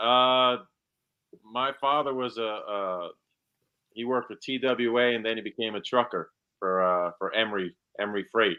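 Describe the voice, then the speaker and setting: Long, frequent pauses from a man with a New Jersey accent, at a medium pitch. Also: ordinary pitch variation, moderate pace. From New Jersey, Monmouth County. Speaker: actor. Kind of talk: casual interview chat.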